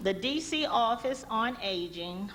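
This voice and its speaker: A woman with an American accent speaks in a bright, sharp, fairly high voice with lively intonation, and audible room echo surrounds it. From Washington DC. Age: 60s. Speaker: public hearing witness, senior citizen. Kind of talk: public testimony. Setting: budget hearing room. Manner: reading a prepared statement.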